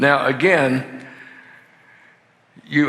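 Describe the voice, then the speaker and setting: A man at a very slow pace, with audible room echo. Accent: Southern US. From US South, lower Alabama. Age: 70s. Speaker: marriage conference speaker. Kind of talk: sermon-style seminar talk. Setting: church. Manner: casual, halting with fillers.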